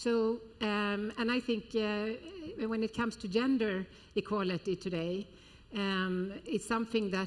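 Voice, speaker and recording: A woman talks at a fairly slow pace in a plain, everyday voice. Her pitch is medium, with ordinary pitch variation. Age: 60s. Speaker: retail executive. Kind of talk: panel discussion.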